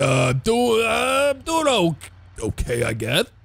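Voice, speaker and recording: A man puts on a character voice at a medium pitch. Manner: slurred speech.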